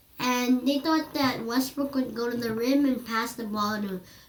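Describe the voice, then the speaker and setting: Against noticeable background noise, a woman with a high pitch speaks at a fairly slow pace with ordinary pitch variation. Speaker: basketball analysis YouTuber. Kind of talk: casual sports commentary narration.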